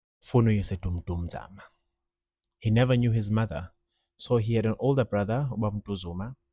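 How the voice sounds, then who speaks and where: A man with a Zulu accent talks fairly quickly in a fairly low, dark, mellow, somewhat breathy voice with ordinary pitch variation and long, frequent pauses, recorded very cleanly with a silent background and a dry, close sound with no echo. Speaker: musician. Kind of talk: casual monologue. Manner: casual, code-switching.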